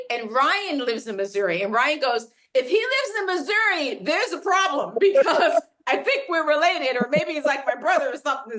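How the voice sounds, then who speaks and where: Raised and projected, a woman's high-pitched voice carries an animated tone with very wide pitch swings. She talks at a fairly quick pace. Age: 60s. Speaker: business executive and keynote speaker. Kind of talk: casual interview chat.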